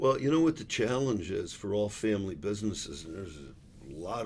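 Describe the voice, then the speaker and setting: A man with an American accent speaks at a fairly low pitch and a moderate pace. His pitch varies in an ordinary way, and audible room echo is present. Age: 60s. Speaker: business executive. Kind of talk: casual chat.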